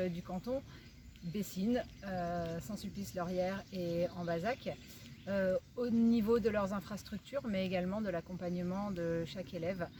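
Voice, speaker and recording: A woman's somewhat breathy, medium-pitched voice with a dark, mellow tone, at a fairly slow pace with fairly even intonation. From Limousin, France. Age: 40s. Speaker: teacher and local election candidate. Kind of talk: campaign presentation.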